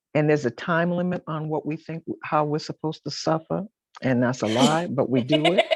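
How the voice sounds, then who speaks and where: A woman with an American accent talks at a fairly quick pace, her very deep, low pitch showing ordinary variation. The very clean recording has a silent background and a dry, close sound with no echo. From Boston, US Northeast. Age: 60s. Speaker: author and gospel singer. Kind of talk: interview.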